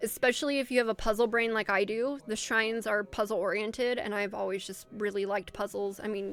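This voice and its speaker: A woman's fairly high, animated voice at a very fast pace, with music in the background. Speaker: streamer. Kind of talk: casual chat. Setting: live stream.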